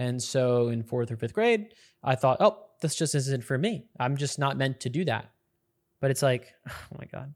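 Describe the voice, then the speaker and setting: Speaking at a moderate pace, a man uses a normal speaking voice with medium pitch and ordinary pitch variation, on a very clean recording with a silent background. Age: 20s. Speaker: podcast host. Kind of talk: solo monologue podcast. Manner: casual with frequent fillers.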